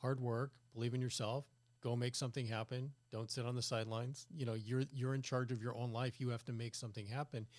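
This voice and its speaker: With a General American accent, a man speaks in an unremarkable speaking voice at medium pitch and with fairly even intonation. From California. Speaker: podcast host. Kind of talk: interview conversation.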